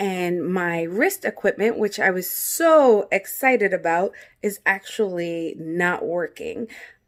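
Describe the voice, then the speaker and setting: Over noticeable background noise, a woman talks at a very slow pace with lively intonation and a medium pitch. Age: 30s. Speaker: vlogger with essential tremor. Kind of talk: casual product unboxing vlog. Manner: stumbling, sounds like stuttering at times; hesitant, many fillers.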